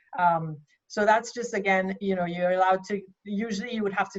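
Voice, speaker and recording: Somewhat breathy, a woman speaks at a medium pitch. Her pace is fairly quick. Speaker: accountant. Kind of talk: workshop presentation. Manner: fast.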